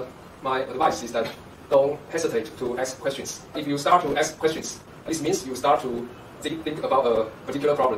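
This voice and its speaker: This man has a Chinese accent and a fairly high pitch. He speaks at a fairly quick pace over noticeable background noise. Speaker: university professor. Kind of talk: interview.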